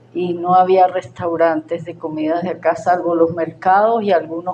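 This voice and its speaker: A woman speaks at a fairly slow pace in a fairly low voice with monotone, flat intonation. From Venezuela, Táchira. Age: 70s. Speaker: gastronomy writer and researcher. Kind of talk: conference talk. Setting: in-person seminar.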